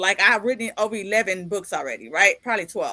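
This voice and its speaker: A woman speaks at a fairly quick pace in an animated, bright and sharp tone. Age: 50s. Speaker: podcast host and author. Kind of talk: casual interview chat.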